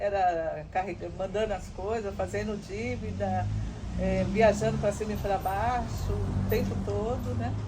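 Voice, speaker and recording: Noticeable background noise and audible room echo around fairly slow speech. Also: woman. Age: 60s. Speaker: mother of a former prisoner. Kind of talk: testimony. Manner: halting, with many fillers.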